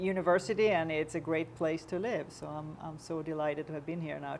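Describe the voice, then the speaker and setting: A woman with a Swedish accent, very deep and low in pitch, at a moderate pace with fairly even intonation. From Sweden. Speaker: university chancellor. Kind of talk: panel discussion.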